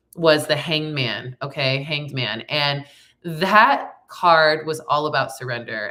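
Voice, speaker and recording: A woman speaks with fairly even intonation. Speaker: tarot reader and spiritual coach. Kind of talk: card reading forecast. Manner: casual, conversational.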